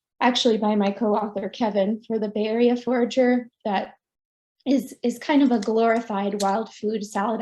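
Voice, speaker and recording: Against a quiet background, a woman speaks at a moderate pace in a fairly high, somewhat breathy voice. Her tone is dark and mellow, her intonation monotone and flat. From Finland. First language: Finnish. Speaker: foraging author and nature educator. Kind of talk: online presentation.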